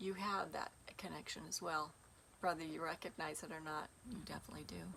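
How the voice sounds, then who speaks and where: A woman speaks at a fairly quick pace with vocal fry and fairly even intonation. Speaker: spiritual teacher. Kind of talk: casual monologue to viewers.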